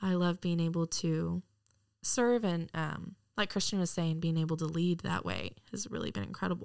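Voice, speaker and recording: A woman with an American accent speaks at a fairly low pitch with ordinary pitch variation on a very clean recording with a silent background. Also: moderate pace. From Texas, near Dallas. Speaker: Bible school student. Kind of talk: interview.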